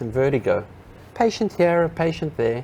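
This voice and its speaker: Here a man speaks with a South African accent. His pace is fairly quick. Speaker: physical therapist. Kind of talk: interview.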